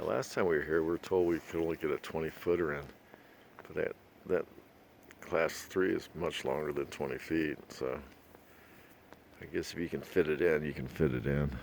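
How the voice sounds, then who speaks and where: A man's very deep, low voice with vocal fry, fairly even intonation, a moderate pace and long, frequent pauses. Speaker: RV travel vlogger. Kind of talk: casual vlog narration. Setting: outdoors. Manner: soft-spoken.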